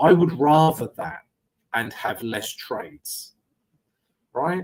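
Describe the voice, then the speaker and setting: Ordinary pitch variation marks this man's speech. He talks fairly slowly. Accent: strong London. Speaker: trading educator and live streamer. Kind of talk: live trading stream with chat Q&A. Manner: casual, conversational.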